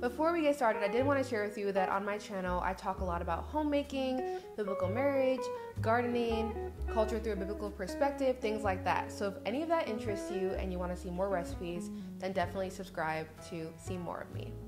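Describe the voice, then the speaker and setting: A woman talks at a very fast pace with clear music in the background. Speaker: homemaking vlogger. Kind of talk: casual vlog chat and cooking tutorial. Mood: warm and upbeat. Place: kitchen. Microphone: studio mic.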